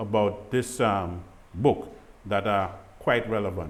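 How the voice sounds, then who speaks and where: A man at a fairly slow pace. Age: 60s. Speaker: grief ministry program host. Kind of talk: devotional talk.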